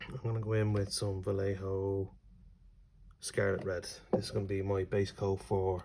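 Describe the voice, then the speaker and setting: A man with a fairly low, somewhat breathy voice and a dark, mellow tone speaks at a fairly slow pace. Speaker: miniature painting youtuber. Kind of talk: tutorial. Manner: casual, hesitant.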